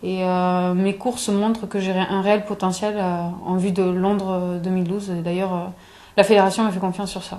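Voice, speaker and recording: A woman's dark, mellow voice at medium pitch, monotone and flat in intonation, at a moderate pace. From southern France, Aveyron (Espalion). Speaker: athlete. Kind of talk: interview. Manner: halting, many fillers and repetitions.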